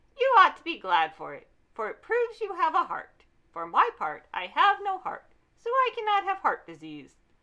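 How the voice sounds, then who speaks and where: A woman speaks in a put-on character voice, extremely high and raised to project. Her loudness swings widely at a moderate pace. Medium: read story.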